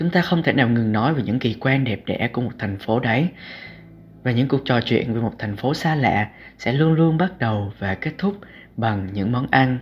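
Lively intonation marks this man's somewhat breathy, medium-pitched voice. He speaks at a moderate pace. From southern Vietnam, Cà Mau. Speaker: podcast host, student blogger. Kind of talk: reading aloud own essay.

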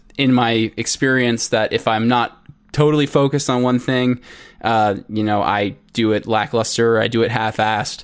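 Over music in the background, a man at medium pitch speaks at a moderate pace in a monotone, flat way. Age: 20s. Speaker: crypto coin creator and software engineer. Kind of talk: podcast interview.

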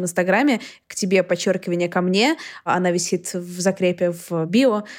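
The recording is very clean with a silent background. A woman uses a normal speaking voice at medium pitch with fairly even intonation. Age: 20s. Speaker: podcast host. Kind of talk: casual chat.

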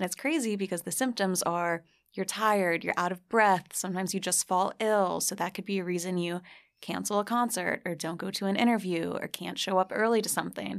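Fairly quick and fairly even in intonation, a woman with a plain, everyday voice speaks on a very clean recording with a silent background. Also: medium pitch for a woman. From New Jersey. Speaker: blogger and podcaster on celebrity gossip. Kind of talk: casual chat.

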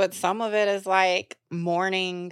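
Her fairly low-pitched voice comes through a very clean recording with a silent background. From US South, Atlanta. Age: 30s. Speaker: author and activist. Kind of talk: podcast interview.

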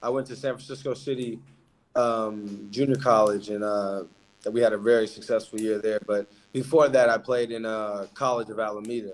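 Using a plain, everyday voice, the speaker talks in an American accent at a moderate pace with fairly even intonation. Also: man, medium pitch for a man. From Alaska, Anchorage. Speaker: professional basketball player. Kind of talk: interview.

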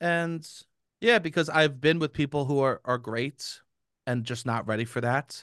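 An unremarkable speaking voice belongs to a man talking at a moderate pace with ordinary pitch variation. The sound is dry and close with no echo, over a quiet background. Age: 30s. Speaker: comedian and podcast host. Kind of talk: casual chat.

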